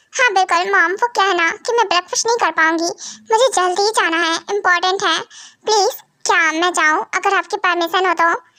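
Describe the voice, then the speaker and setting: Using a put-on character voice, a woman speaks at an extremely high pitch. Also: fairly quick pace. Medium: read story. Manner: hurried, polite.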